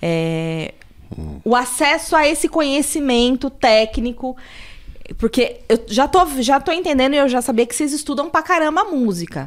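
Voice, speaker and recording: A woman speaks fairly slowly with a São Paulo accent. Her high voice swings very widely in pitch. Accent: Paulistano Brazilian Portuguese. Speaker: podcast host. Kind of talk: casual chat.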